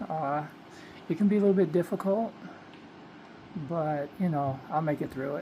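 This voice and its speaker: A soft-spoken woman with a very deep, low pitch and a dark, mellow tone, with long, frequent pauses. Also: ordinary pitch variation, moderate pace. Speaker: vlogger. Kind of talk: casual vlog monologue. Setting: bedroom at night. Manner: soft-spoken, low; hesitant, many fillers.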